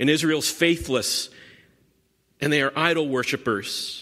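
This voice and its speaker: Bright and sharp in tone, this voice carries an American accent, a moderate pace, and ordinary pitch variation. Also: man. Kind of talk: sermon. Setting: church.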